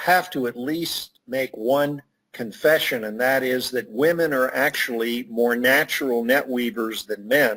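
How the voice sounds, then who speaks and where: An ordinary speaking voice at a fairly slow pace. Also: man. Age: 60s. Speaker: networking expert and author. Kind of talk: interview.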